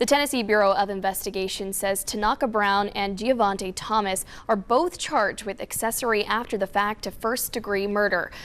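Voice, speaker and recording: A woman with an unremarkable speaking voice, at a medium pitch and moderate pace, with ordinary pitch variation. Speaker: news anchor. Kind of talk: TV news anchoring. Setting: studio.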